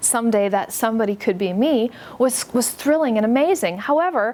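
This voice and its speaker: Someone with an American accent speaks at a moderate pace with lively intonation against noticeable background noise. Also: woman. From US, western New York State. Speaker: book author. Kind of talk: talk to an audience. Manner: conversational, friendly.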